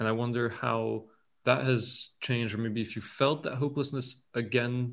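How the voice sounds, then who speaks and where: In a French accent, a man speaks at a fairly slow pace and a medium pitch. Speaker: podcast host. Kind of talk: casual interview chat. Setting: video call.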